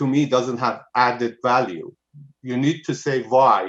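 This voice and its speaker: A man speaks with a non-native accent. His pitch sits in the medium range. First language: not English. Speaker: planning commissioner. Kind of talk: public meeting discussion. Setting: video call.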